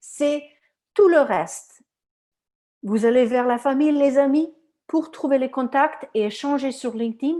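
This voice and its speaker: A high-pitched woman's voice with a dark, mellow tone and a non-native accent, ordinary pitch variation, on a very clean recording with a silent background. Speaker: recruiter and career coach. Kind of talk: conference talk with Q&A. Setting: live conference. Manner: animated; halting, many repetitions.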